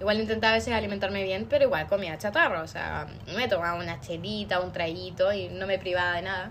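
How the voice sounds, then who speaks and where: Amid audible room echo, a woman with a medium pitch talks at a fairly quick pace with ordinary pitch variation. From Chile, Osorno. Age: 20s. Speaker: psychology student. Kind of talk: casual chat.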